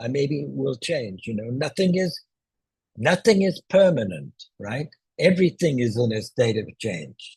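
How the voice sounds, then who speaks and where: Using vocal fry, a man with a medium pitch speaks at a fairly slow pace, with very wide pitch swings and a dry, close sound with no echo. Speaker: zoom tutor. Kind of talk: tutorial. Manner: loud.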